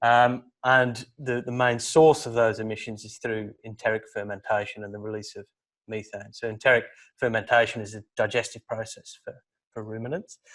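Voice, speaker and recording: A man's medium-pitched voice with a British accent, moderate pace, big swings in loudness and fairly even intonation against a quiet background. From UK. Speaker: PhD student. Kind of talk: academic seminar presentation. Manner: hesitant, repeats words.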